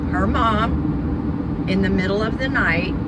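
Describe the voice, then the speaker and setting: A woman's voice, dry with no echo, under loud background noise. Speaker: vlogger. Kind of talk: casual vlog chat. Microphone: phone near.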